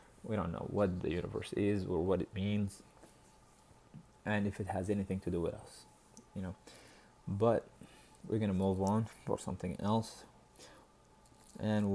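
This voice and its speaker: With a dark, mellow tone and fairly low pitch, a man speaks in a monotone, flat intonation at a moderate pace, leaving long, frequent pauses. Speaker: dating advice video host. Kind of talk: casual advice monologue. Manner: halting, many restarts and fillers.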